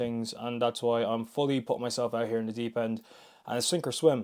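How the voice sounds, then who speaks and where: A man with an Irish accent talks at a very fast pace. His intonation is flat and monotone, on a very clean recording with a silent background. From Ireland. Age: 20s. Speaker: fitness vlogger. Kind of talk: casual vlog monologue. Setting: gym.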